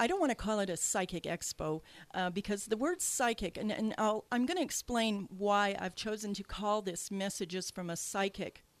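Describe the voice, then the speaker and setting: The sound is dry and close, with no echo. A woman speaks at a moderate pace with ordinary pitch variation. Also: medium pitch for a woman. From Canada. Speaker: radio host and psychic medium. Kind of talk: radio talk show. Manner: hesitant, many fillers.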